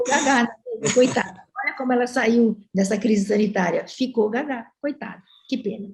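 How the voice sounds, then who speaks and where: With a high pitch, ordinary pitch variation and a moderate pace, a woman speaks. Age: 70s. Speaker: professor. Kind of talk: panel discussion.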